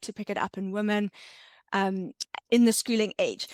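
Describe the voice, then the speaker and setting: Speaking at a fairly quick pace with a South African accent, a woman uses a fairly high pitch and fairly even intonation, on a very clean recording with a silent background and a dry, close sound with no echo. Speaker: entrepreneur and ADHD content creator. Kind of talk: podcast interview.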